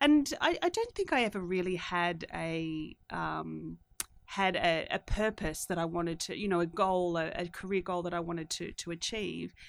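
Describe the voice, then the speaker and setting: Woman with an Australian accent, fairly low pitch and a moderate pace, on a very clean recording with a silent background. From Australia, country town. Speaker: tech company CEO. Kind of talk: interview. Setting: studio. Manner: halting, many repeated words and fillers.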